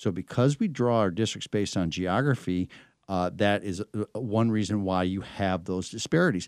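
With an American accent, a man speaks at a fairly quick pace and ordinary pitch variation, on a very clean recording whose dry, close sound has no echo and a silent background. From Michigan. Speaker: political strategist. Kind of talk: interview. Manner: halting.

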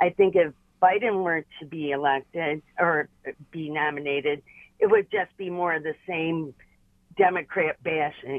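An ordinary speaking voice, a woman's fairly low pitch moves at a fairly slow pace with fairly even intonation and big swings in loudness. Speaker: caller. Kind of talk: call-in comment. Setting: phone call.

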